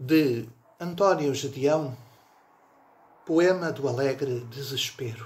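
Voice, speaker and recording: Somewhat breathy and fairly high for a man, his voice has ordinary pitch variation and a very slow pace with long, frequent pauses. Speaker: poetry reciter. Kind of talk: poem reading aloud, measured and reflective. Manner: slow, deliberate, wistful and ironic. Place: home room. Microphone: phone near.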